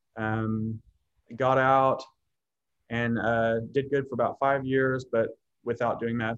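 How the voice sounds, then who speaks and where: Speaking at a very slow pace with long, frequent pauses, a man with an American accent holds a medium pitch and a monotone, flat intonation. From Oklahoma City suburbs. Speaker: program participant, former addict. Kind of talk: interview testimony.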